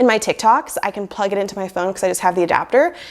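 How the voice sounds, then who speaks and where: Speech moves fairly quickly as noticeable background noise carries on behind it. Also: woman. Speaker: lifestyle vlogger. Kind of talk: casual vlog talk.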